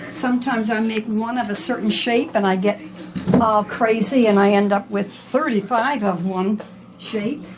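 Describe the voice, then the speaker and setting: There is noticeable background noise as a woman speaks at a moderate pace with a slight Newfoundland accent. Her pitch is fairly high, with ordinary pitch variation. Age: 70s. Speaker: rug maker. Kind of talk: casual interview.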